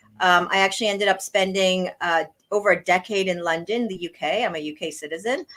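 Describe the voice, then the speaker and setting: A woman's medium-pitched voice with an American accent, very fast and fairly even in intonation. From US East Coast. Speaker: blockchain industry executive. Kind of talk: interview.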